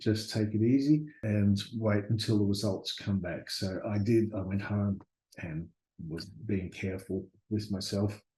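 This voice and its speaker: At a fairly slow pace, a man speaks with fairly low pitch, a dark, mellow tone, fairly even intonation and a somewhat breathy quality. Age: 60s. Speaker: university lecturer sharing near-death experience. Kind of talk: testimony. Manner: halting, with fillers and repeated words.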